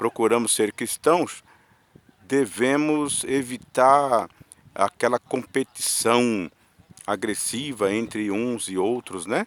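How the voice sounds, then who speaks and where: Very slow speech from a man of medium pitch with lively intonation, in a dry, close sound with no echo. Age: 60s. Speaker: vlogger sharing opinions. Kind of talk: personal monologue vlog. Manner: halting, with filler words.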